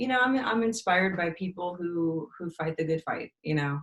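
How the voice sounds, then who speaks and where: A woman talks in a plain, everyday voice with an American accent. Her pitch is fairly low and her intonation lively. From Texas, Austin. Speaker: musician. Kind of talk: interview.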